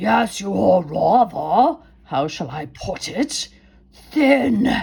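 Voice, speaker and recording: In a put-on character voice at middle pitch, the speaker growls and wheezes at a very slow pace. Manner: wheezy.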